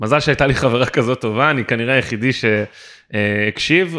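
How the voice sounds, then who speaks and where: With a bright, sharp tone, a man talks at a moderate pace with ordinary pitch variation, and the recording is very clean with a silent background. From Israel. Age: 20s. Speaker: podcast co-host, LinkedIn consultant and lecturer. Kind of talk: casual podcast chat.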